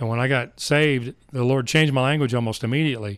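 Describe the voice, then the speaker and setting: A very fast-talking man with an American accent, a medium pitch, and fairly even intonation, in a very clean recording with a silent background. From Texas, Dallas area. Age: 50s. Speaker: mergers and acquisitions advisor, ministry worker. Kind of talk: interview.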